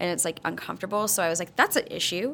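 In a plain, everyday voice with ordinary pitch variation, the speaker is heard on a very clean recording against a silent background. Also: woman. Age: 30s. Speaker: spin instructor and gym founder. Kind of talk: casual chat.

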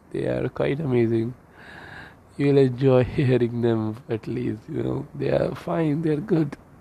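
Man with an Indian accent, medium pitch and ordinary pitch variation, at a fairly slow pace. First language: Hindi. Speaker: medical student podcaster. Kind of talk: casual monologue. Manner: Hindi-English code-switching.

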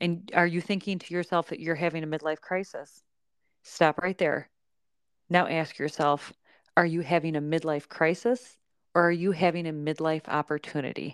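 In an ordinary speaking voice, the speaker goes at a moderate pace with fairly even intonation, recorded dry and close with no echo in a very clean recording with a silent background. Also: woman, fairly low pitch for a woman. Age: 40s. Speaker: podcast host and yoga instructor. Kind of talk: casual chat.

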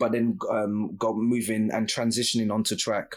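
This man has an unremarkable speaking voice at medium pitch, moving at a moderate pace. The recording is very clean, with a silent background. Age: 30s. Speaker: podcast host. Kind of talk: interview.

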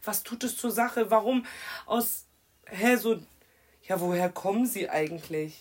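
Noticeable background noise sits behind a woman with a fairly high pitch and lively intonation. She talks at a fairly slow pace, with long, frequent pauses. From Germany, Kirchheim (Hesse). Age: 20s. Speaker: guest speaking on racism. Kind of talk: casual chat.

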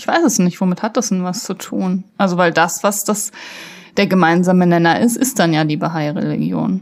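Heard on a very clean recording with a silent background, a woman has an unremarkable speaking voice at medium pitch with ordinary pitch variation. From northern Germany, Kreis Segeberg (Schleswig-Holstein). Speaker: podcast co-host. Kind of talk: casual chat.

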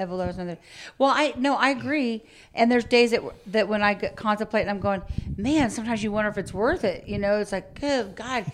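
A plain, everyday voice from a woman, fairly high in pitch, with ordinary pitch variation and a moderate pace. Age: 50s. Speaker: podcast co-host, business owner. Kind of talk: casual chat.

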